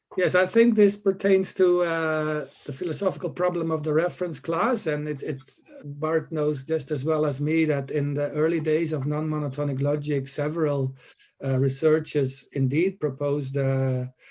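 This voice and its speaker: Ordinary pitch variation at a moderate pace. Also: man, fairly high pitch for a man. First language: not English. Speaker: conference panelist. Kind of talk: conference Q&A answers. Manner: hesitant, many filler uhs.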